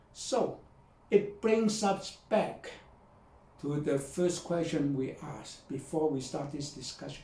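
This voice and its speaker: The speech comes very slowly, with big swings in loudness, ordinary pitch variation and audible room echo. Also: man, fairly high pitch for a man. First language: not English. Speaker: video blogger and author. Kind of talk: talk to camera. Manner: halting.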